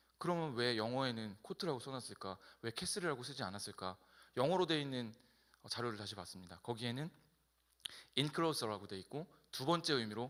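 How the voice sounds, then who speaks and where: Talking at a fairly quick pace, a man at medium pitch makes very wide pitch swings and takes long, frequent pauses. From South Korea, Incheon. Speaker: pastor. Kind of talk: sermon.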